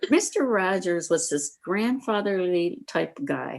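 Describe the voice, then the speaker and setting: This is a woman speaking. She has a Midwestern US accent. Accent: US Midwest. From small-town Iowa. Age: 70s. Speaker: senior interviewee. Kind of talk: casual interview.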